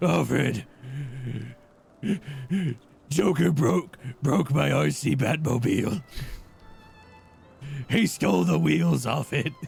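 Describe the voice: In a put-on character voice, a man with a gravelly, medium-pitched voice speaks at a fairly slow pace with long, frequent pauses, very wide pitch swings and very even loudness, with music in the background.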